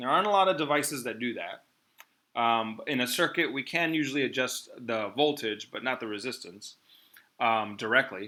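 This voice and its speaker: The tone is bright and sharp, with lively intonation. Delivery moves at a moderate pace. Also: man, medium pitch for a man. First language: not English. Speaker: physics teacher. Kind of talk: online class lesson. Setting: video call. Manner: hesitant, many fillers.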